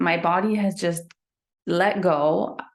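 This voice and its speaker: A woman speaks with a slight German accent. Her pitch varies in an ordinary way. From Germany. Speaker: sleep coach. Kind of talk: interview.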